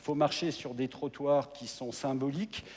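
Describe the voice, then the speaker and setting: A man's voice at a medium pitch. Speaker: mayor. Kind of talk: presentation on stage. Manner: hesitant, with repetitions.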